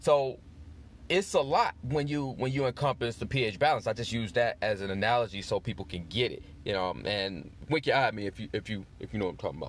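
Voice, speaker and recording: Speaking very fast, a man uses lively intonation at a medium pitch. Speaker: podcast host, relationship advisor. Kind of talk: advice podcast monologue. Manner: casual, conversational.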